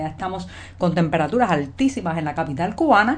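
In a normal speaking voice, the speaker uses lively intonation. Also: woman. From Cuba, Havana. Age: 40s. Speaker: journalist and video commentator. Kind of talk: news commentary monologue. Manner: conversational.

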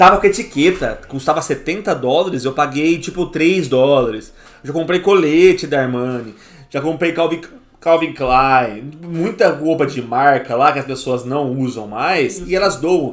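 A man with an ordinary speaking voice talks at a fairly slow pace. His pitch is fairly high, with ordinary pitch variation. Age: 30s. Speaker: podcast host. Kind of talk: casual chat.

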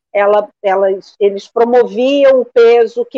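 A woman's fairly high voice at a very slow pace. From Rio de Janeiro, Brazil. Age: 50s. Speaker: therapist. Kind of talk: live-stream interview.

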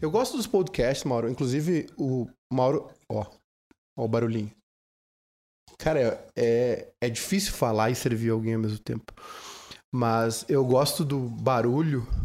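A man's medium-pitched voice, fairly slow with long, frequent pauses and ordinary pitch variation, on a very clean recording with a silent background. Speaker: podcast host and radio presenter. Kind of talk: casual chat. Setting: drinking wine during recorded podcast.

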